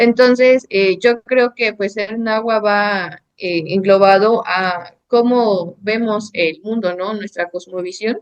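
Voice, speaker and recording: In a Mexican accent, a woman speaks at a medium pitch. Her pace is very slow and her intonation fairly even. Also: hardly any pauses. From Mexico, Sierra de Zongolica, central Veracruz. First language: Nahuatl (speaking Spanish). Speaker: architect and painter. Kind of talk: interview conversation. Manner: hesitant, many fillers.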